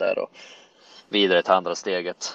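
The man talks at a moderate pace. His sound is dry and close, without any echo. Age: 20s. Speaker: professional golfer. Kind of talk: casual interview chat.

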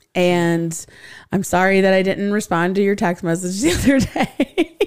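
It is a normal speaking voice at a moderate pace with ordinary pitch variation. The loudness stays very even. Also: woman, medium pitch for a woman, very clean recording, silent background. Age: 40s. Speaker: podcast host. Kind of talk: casual chat.

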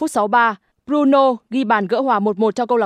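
Against a quiet background, a plain, everyday voice speaks at a moderate pace with ordinary pitch variation. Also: woman. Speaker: news reader. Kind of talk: news reading.

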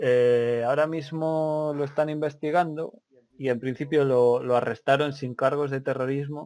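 This man has an unremarkable speaking voice at a medium pitch. His intonation is fairly even and his pace fairly slow. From Spain. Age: 30s. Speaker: podcast host. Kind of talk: casual chat.

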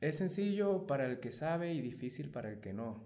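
A man with a dark, mellow tone at a moderate pace, amid audible room echo. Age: 20s. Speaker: personal trainer. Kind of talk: interview. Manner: halting, many repetitions and fillers.

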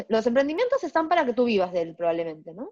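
Her pitch swings very widely as a woman speaks in a dry, close sound with no echo. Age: 40s. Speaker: business coach and trainer. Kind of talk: casual interview chat. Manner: animated.

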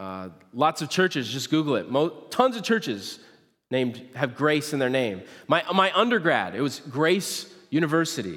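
Speaking at a moderate pace with an American accent, a man shows a fairly high pitch, very wide pitch swings and vocal fry. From central Nebraska (US Midwest). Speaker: pastor. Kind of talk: sermon. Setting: church stage.

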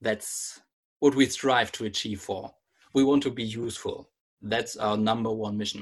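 A man with a plain, everyday voice speaks at a moderate pace and medium pitch, with fairly even intonation over a quiet background. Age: 30s. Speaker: magazine founder. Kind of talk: interview.

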